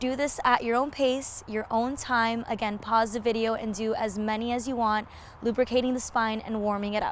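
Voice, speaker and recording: Fairly even intonation at a moderate pace, over noticeable background noise. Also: woman. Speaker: yoga instructor. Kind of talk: yoga tutorial instruction. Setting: outdoors.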